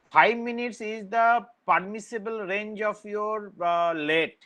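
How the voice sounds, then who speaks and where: A man speaks loudly at a fairly slow pace, his tone bright and sharp. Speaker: university lecturer. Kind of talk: online lecture. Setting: online class.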